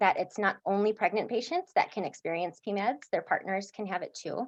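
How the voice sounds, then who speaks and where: A woman talks at a medium pitch. Behind her, the background stays quiet. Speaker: psychiatric nurse practitioner. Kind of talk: educational presentation.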